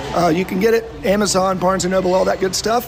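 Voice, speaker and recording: A high-pitched man with an American accent, music in the background. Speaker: author and financial advisor. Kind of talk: interview. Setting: barbecue restaurant with music.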